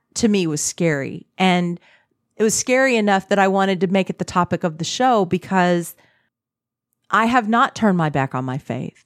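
In an American accent, a woman with an unremarkable speaking voice talks at a moderate pace and medium pitch with ordinary pitch variation, on a very clean recording with a silent background and a dry, close sound with no echo. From Texas. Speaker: podcast host, holistic spiritual coach. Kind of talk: casual chat.

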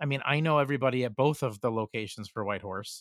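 A very fast man at a medium pitch with ordinary pitch variation, a dry, close sound with no echo, and a very clean recording with a silent background. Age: 40s. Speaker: podcast host, RV travel author. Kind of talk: casual chat.

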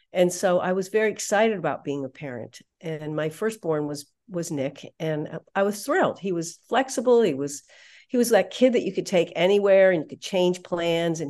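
A woman's unremarkable speaking voice, fairly low in pitch, with lively intonation at a moderate pace over a quiet background. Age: 60s. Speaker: parenting speaker and psychologist. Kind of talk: casual interview chat.

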